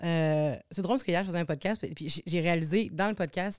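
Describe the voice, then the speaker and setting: Delivered at a moderate pace with ordinary pitch variation, the voice comes through a very clean recording with a silent background and a dry, close sound with no echo. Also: woman. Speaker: singer and TV personality. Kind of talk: casual chat. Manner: halting.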